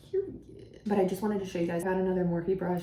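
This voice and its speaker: With medium pitch and fairly even intonation, a woman speaks amid audible room echo. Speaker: beauty vlogger. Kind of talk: makeup tutorial chat. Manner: stutters often on camera; casual, filler-heavy.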